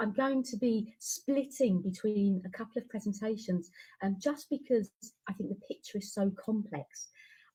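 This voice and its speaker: Her tone is dark and mellow, and somewhat breathy. The woman speaks with a British accent. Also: fairly high pitch for a woman, ordinary pitch variation, moderate pace. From UK. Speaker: education researcher and teacher. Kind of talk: webinar presentation.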